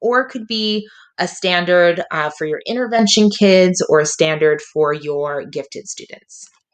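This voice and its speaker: A woman with a plain, everyday voice speaks at a fairly low pitch and moderate pace, her intonation lively against a quiet background. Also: hardly any pauses. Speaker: teacher. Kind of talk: tutorial.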